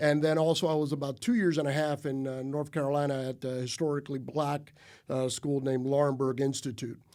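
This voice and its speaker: In a very clean recording with a silent background, a man with a dark, mellow tone and fairly high pitch talks at a fairly quick pace with fairly even intonation. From Cuba-born, raised in Little Havana, Miami. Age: 50s. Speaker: college basketball coach. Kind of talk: podcast interview. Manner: halting, many fillers.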